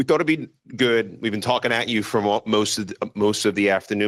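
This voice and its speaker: A man with a New York accent talks at a very fast pace in a fairly low pitch. The sound is dry and close, with no echo. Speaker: panel moderator. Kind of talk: panel discussion.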